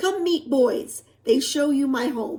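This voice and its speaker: A woman puts on a growling character voice, pitched high. She speaks at a fairly slow pace. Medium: read story. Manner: clumsy, simple phrasing in a learned language.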